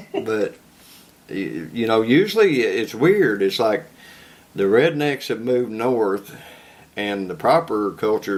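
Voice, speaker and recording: Lively in intonation, a man talks at a fairly slow pace in a strong Southern US accent. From Kentucky. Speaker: podcast host. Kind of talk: casual interview chat.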